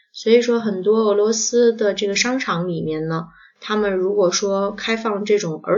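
Her medium-pitched voice moving at a moderate pace, a woman speaks with fairly even intonation. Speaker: podcast host. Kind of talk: casual chat. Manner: hesitant with many fillers.

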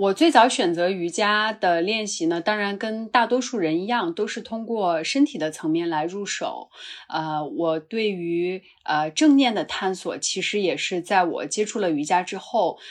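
A woman's ordinary speaking voice at medium pitch, fairly slow and with hardly any pauses, lively in intonation, against a quiet background. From northwest China, Qinghai-Tibet Plateau. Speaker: yoga teacher. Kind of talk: casual conversation.

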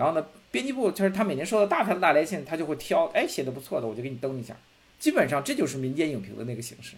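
Talking at a very fast pace, a man makes very wide pitch swings and big swings in loudness. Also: fairly high pitch for a man. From Beijing, China. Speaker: film critic. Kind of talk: casual chat. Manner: repetitive, stammering restarts.

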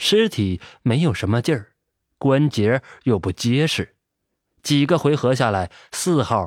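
Lively intonation runs through an unforced reading voice. Nothing much sounds behind it.

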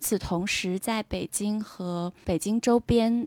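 A woman speaks at a very slow pace with a medium pitch and fairly even intonation. The sound is dry and close with no echo, in a very clean recording with a silent background. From Beijing. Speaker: art institution worker. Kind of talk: casual interview chat.

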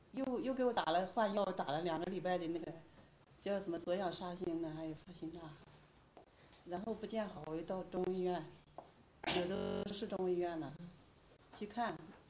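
Amid audible room echo, a woman speaks at a medium pitch and a moderate pace, with ordinary pitch variation and long, frequent pauses. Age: 50s. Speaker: patient. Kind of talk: patient interview.

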